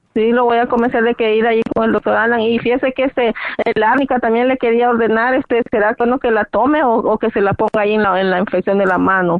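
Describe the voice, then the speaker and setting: Speaking at a very fast pace with hardly any pauses, a woman keeps a fairly high pitch, fairly even intonation, and very even loudness. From Latin America. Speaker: caller. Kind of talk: phone-in question.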